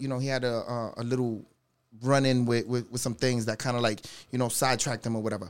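Someone with a New York accent speaks at a very fast pace on a very clean recording with a silent background. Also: man. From New York, the Bronx. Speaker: DJ. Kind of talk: casual chat.

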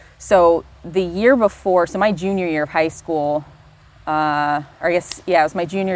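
In a normal speaking voice, a woman with an American accent talks at a moderate pace with a fairly low pitch and ordinary pitch variation on a very clean recording with a silent background. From Florida, US South. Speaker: neurophysiologist. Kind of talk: casual interview conversation. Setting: outdoors by a fire pit.

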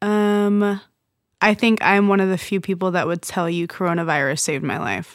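With a plain, everyday voice, a woman speaks at a medium pitch and a moderate pace, her intonation fairly even. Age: 20s. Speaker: friend of the host, student. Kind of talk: casual chat.

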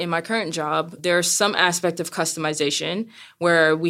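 On a very clean recording with a silent background, a woman speaks with an American accent at a fairly low pitch. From US, Brooklyn, New York. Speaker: seamstress and retail worker. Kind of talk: interview. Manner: loud.

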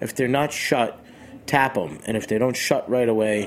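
The speaker has an American accent and talks at a moderate pace. Noticeable background noise is present. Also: man. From Boston, Massachusetts. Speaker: chef. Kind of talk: casual interview. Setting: radio studio.

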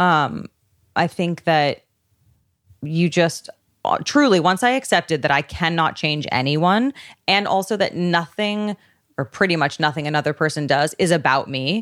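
A woman speaks at a moderate pace in a normal speaking voice, fairly low in pitch with lively intonation. The recording is very clean and silent behind her, with a dry, close sound and no echo. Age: 30s. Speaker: stylist. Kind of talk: casual chat.

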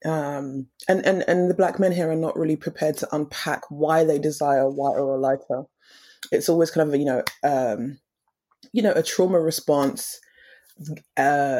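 A woman speaks in a very deep, low pitch with a dark, mellow tone and ordinary pitch variation. Her moderate pace includes long, frequent pauses, on a very clean recording with a silent background. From Essex, England. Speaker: makeup artist. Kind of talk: casual interview.

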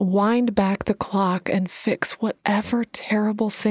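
Someone reads in a natural voice, keeping the intonation fairly even.

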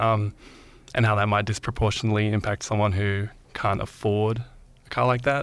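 In an Australian accent, a man speaks at a moderate pace with monotone, flat intonation. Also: fairly low pitch for a man, very clean recording, silent background. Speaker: podcast host. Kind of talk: interview. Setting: studio.

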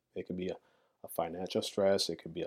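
With an American accent, a man speaks in a normal speaking voice at a fairly low pitch with fairly even intonation. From Chicago, US Midwest. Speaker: vegan activist and entrepreneur. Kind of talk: interview.

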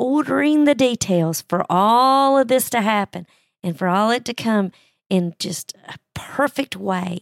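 With a normal speaking voice, a woman talks at a fairly slow pace in a fairly high pitch, her intonation lively and the sound dry and close with no echo. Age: 60s. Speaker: Bible teacher podcaster. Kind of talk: Bible study talk.

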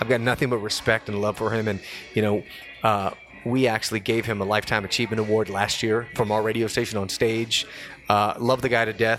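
With music in the background, a man talks at a fairly quick pace at medium pitch in a monotone, flat intonation. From Los Angeles, California. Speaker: DJ and radio personality. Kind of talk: casual chat. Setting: studio.

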